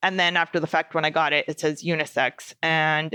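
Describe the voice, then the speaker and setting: Recorded with a dry, close sound, no echo and a quiet background, a woman speaks at a moderate pace and a fairly low pitch. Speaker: podcast host. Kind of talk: casual podcast monologue. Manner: loud; animated.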